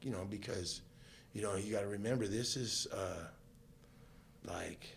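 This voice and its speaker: Amid noticeable background noise and audible room echo, a man with an American accent speaks at a moderate pace and a fairly low pitch, keeping his intonation fairly even. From Southern California. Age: 50s. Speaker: guest sharing life story. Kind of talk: testimony. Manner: casual, many fillers.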